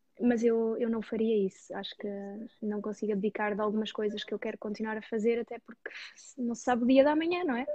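A woman talks at a fairly quick pace with a fairly high pitch, ordinary pitch variation and a somewhat breathy quality. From Portugal, Dutch parents. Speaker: personal finance YouTuber. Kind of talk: interview.

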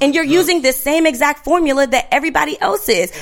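In an American accent, a woman talks at a very fast pace in an animated tone. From Washington DC and Richmond, Virginia. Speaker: guest ranting in a segment. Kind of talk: monologue rant.

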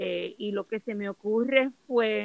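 This woman speaks at a fairly high pitch. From Puerto Rico. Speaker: yoga and holistic wellness instructor. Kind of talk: casual chat.

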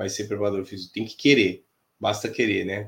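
Somewhat breathy and fairly low in pitch, a man's voice comes through in a very clean recording with a silent background. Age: 50s. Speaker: futsal fitness coach. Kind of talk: casual interview.

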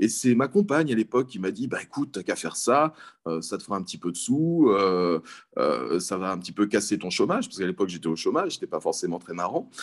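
A man talks at a very fast clip with big jumps in loudness, on a very clean recording over a silent background. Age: 40s. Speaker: philosophy teacher. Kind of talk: interview.

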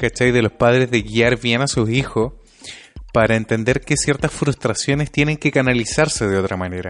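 A man with a Chilean accent at medium pitch, moderate pace and ordinary pitch variation. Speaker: podcast co-host. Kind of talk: casual chat.

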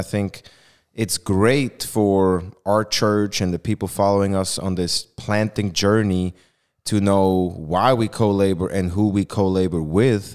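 In a Swiss accent, a man speaks at a moderate pace with a fairly low pitch. The recording is very clean and the background silent. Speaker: church staff member. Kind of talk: casual chat.

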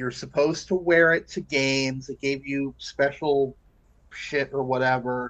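Fairly high in pitch, this man has a plain, everyday voice. He talks at a fairly slow pace with fairly even intonation. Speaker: sports podcast co-host. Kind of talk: casual chat.

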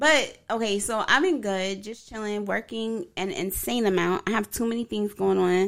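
A woman speaks in an ordinary speaking voice at medium pitch and a moderate pace, with ordinary pitch variation and hardly any pauses. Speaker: podcast co-host. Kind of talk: casual banter podcast chat.

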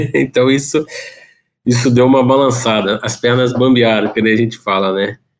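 A man with a normal speaking voice talks at a moderate pace, his medium pitch held in fairly even intonation. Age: 30s. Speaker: electrical engineer and father. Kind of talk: casual interview chat.

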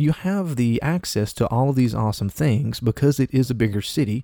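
An Appalachian accent comes through in a dark, mellow tone. The sound is dry and close with no echo, and the recording is very clean with a silent background. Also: man. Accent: Appalachian US Southern. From US South, Appalachia. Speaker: podcast host. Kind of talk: casual solo monologue. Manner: conversational with frequent fillers and repetitions.

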